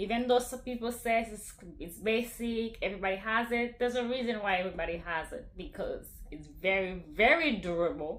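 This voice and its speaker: A woman with lively intonation at a moderate pace, plus audible room echo. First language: not English (English is third language). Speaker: fashion YouTuber. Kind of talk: casual product review vlog.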